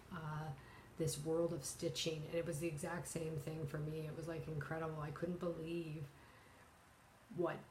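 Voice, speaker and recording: In a Canadian accent, a woman speaks with a very deep, low pitch and a somewhat breathy, monotone, flat delivery. Her moderate pace is broken by long, frequent pauses, with audible room echo. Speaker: cross-stitch vlogger. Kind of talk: casual vlog talk. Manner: halting, many fillers.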